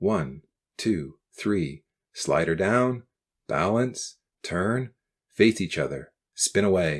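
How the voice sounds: Against a quiet background, this is a natural reading voice with lively intonation.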